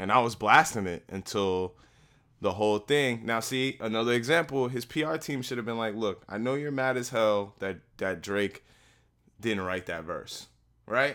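A man's medium-pitched, bright, sharp voice at a moderate pace, with ordinary pitch variation, in a very clean recording with a silent background. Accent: American. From New Jersey (Newark). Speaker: podcast host, cable worker. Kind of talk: casual chat.

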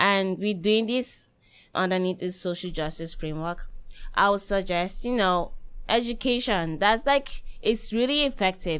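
Speaking fairly slowly at a medium pitch with ordinary pitch variation, a woman uses an ordinary speaking voice. The recording is very clean, with a silent background. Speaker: university student. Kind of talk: panel discussion.

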